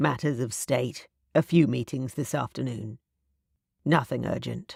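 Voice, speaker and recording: A booming put-on character voice from a woman, very deep and low in pitch, at a moderate pace. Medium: read story. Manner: formal, old-fashioned speech.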